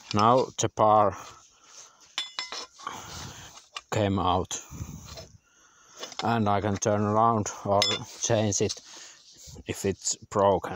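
Amid noticeable background noise, a man speaks very slowly in a flat monotone, pausing long and often. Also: dry sound with no echo. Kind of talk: tutorial. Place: forest. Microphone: phone near.

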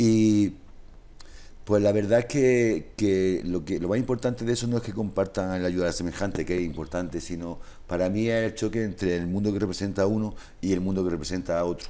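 Dark and mellow in tone, the voice shows ordinary pitch variation. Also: man, fairly low pitch for a man. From Spain. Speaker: social worker, musician and author. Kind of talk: interview. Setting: studio. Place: studio. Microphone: lapel.

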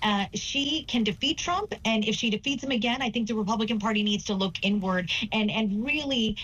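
Her voice fairly high, a woman with an American accent speaks at a moderate pace. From US South, southern West Virginia (Appalachia). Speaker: political strategist; political commentator guest. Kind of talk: TV news interview. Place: home room. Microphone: webcam.

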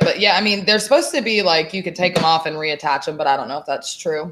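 A woman with an American accent talks at a very fast pace with a fairly low pitch. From Texas. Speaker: online seller, podcast co-host; show co-host. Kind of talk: casual chat. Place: home room.

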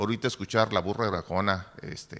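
Bright and sharp in tone, a man's voice sits at a fairly low pitch. He speaks at a moderate pace. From Nuevo León, Mexico. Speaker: chronicler / historian; panelist. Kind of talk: panel discussion. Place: hall. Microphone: podium.

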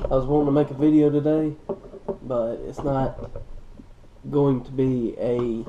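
A man talks at a very slow pace in a flat, monotone intonation over light background noise. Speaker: fishing vlogger. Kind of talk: casual vlog chat. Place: home room. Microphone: camera far.

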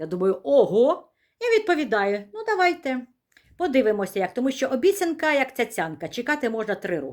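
A woman talks in a high, animated voice at a moderate pace. Her pitch swings very widely. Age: 60s. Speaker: vlogger. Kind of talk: casual vlog talk to camera.

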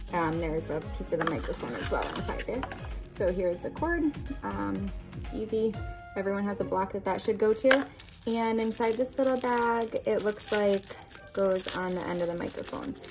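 Moderate-paced speech with clear music in the background. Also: woman. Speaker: product reviewer. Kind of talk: unboxing product review. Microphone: phone near.

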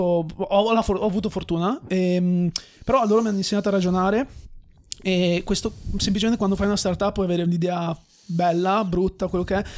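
Over a quiet background, a man with a high pitch talks at a fairly quick pace with fairly even intonation and long, frequent pauses. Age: 20s. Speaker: entrepreneur and former footballer; podcast guest. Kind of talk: casual chat. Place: studio. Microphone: studio mic.

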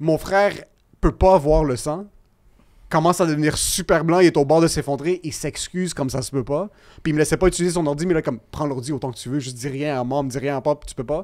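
A man's fairly high voice at a fairly quick clip, ordinary pitch variation, quiet background. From Quebec. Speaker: podcast guest. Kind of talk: casual chat. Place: studio. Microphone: studio mic.

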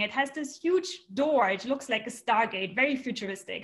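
With a German accent, a woman talks at a moderate pace in a high pitch. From Germany. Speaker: astronomer; storyteller. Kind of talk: personal storytelling. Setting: remote video stream from home. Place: home room. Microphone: webcam.

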